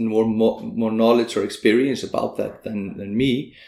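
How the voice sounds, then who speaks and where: The voice has a dark, mellow tone and monotone, flat intonation, with an Icelandic accent. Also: man. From Iceland (Vík, south coast). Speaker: business owner and horseman. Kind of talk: interview. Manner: halting, many fillers.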